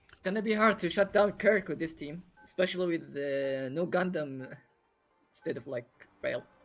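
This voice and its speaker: A moderate pace with music in the background. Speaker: esports commentator. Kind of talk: live commentary. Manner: animated.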